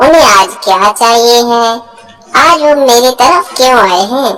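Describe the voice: A woman puts on a cartoonish character voice at a fairly high pitch.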